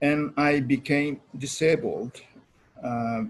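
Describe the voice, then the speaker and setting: This man's voice is somewhat breathy. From Japan, Okinawa. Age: 70s. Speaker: lecturer. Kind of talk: lecture. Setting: online presentation with slides. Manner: halting, many fillers.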